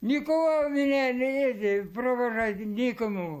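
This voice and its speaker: This man talks at a very slow pace in an extremely high pitch, his intonation lively. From Bashkortostan, Russia. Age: 80s+. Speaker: war veteran. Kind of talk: interview. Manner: halting.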